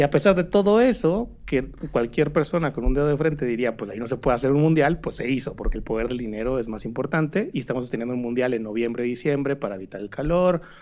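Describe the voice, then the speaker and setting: Against noticeable background noise, a man talks at a very fast pace with hardly any pauses. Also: medium pitch for a man. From Mexico, Torreón. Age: 30s. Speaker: digital rights organization director. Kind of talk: casual chat.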